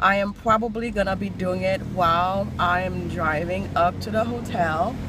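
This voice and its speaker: Bright, sharp female voice at a fairly slow pace with ordinary pitch variation, dry with no echo, amid noticeable background noise. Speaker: vlogger. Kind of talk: casual vlog chat. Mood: excited, cheerful. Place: car. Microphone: phone near.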